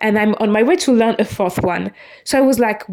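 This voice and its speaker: In a non-native accent, a woman speaks at a moderate pace. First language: not English. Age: 20s. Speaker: podcaster. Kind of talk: personal monologue. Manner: halting.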